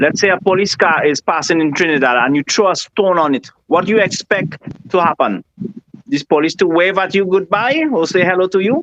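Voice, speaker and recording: Loudness stays very even at a fairly quick pace. The sound is dry and close, with no echo. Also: man, high pitch for a man, lively intonation. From Venezuela. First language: Spanish. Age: 40s. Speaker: interviewee on current affairs. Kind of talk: interview. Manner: halting, searching for words.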